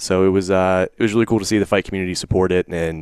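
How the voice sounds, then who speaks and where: Very deep and low in pitch, a man talks at a very fast pace. His intonation is fairly even, and the sound is dry and close with no echo. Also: quiet background. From southwestern Pennsylvania. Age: 20s. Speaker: author and entrepreneur. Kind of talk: interview.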